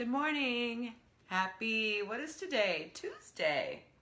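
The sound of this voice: Using a put-on character voice, a woman sounds squeaky at a fairly high pitch, swinging very widely in pitch as she talks at a very slow pace.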